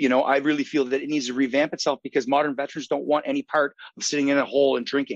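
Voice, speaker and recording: In an Atlantic Canadian accent, a man talks at a very fast pace with a fairly high pitch. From Saint John, New Brunswick, Canada. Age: 30s. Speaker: army veteran. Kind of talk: interview.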